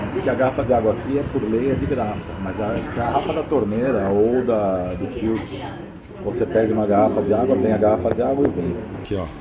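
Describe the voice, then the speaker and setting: Crowd noise sits behind a man speaking. He goes at a fairly quick pace with ordinary pitch variation. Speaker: travel vlogger. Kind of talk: casual vlog chat. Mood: pleased, relaxed. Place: cafe. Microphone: phone near.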